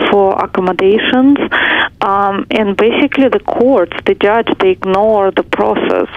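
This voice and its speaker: The delivery moves at a fairly slow pace while noticeable background noise continues throughout. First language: not English. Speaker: caller. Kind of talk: phone-in call. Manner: halting.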